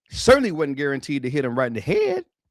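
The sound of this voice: Fast and fairly high-pitched, a man's voice sweeps through very wide pitch swings. The sound is dry and close, with no echo.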